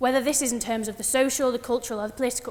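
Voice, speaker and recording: A woman speaks in a high voice with a northern English accent. Her pitch varies in an ordinary way. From northern England, West Yorkshire near Huddersfield. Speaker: student debater. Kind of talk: formal debate speech. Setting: debating chamber with audience.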